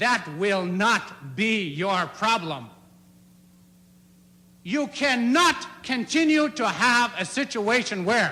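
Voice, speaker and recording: A man's raised, projected voice, extremely high in pitch, with very wide pitch swings. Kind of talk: political speech. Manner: fiery, emotional, aggressive; firm, clear.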